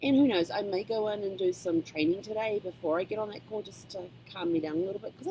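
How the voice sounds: A woman with a dark, mellow tone, fast pace and lively intonation.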